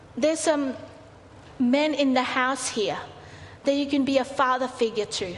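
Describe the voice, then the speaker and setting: A woman at a high pitch with ordinary pitch variation and a moderate pace, noticeable background noise behind her. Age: 40s. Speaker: pastor. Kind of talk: sermon. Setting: church.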